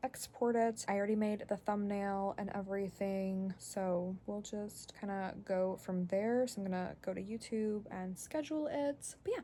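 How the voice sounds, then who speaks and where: With hardly any pauses, a woman speaks at a moderate pace in a medium pitch, with ordinary pitch variation and a dark, mellow tone. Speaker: stay-at-home mom vlogger. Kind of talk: casual vlog narration. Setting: home basement. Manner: stutters and stumbles sometimes; filler-heavy casual speech.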